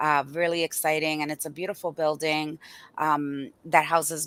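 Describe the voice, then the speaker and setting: A woman speaks in a very deep, low voice with a Spanish accent, at a moderate pace. Her intonation stays flat and monotone over a very clean recording with a silent background. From Boston and Dominican Republic. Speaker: community health organizer. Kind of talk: podcast interview. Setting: live stream.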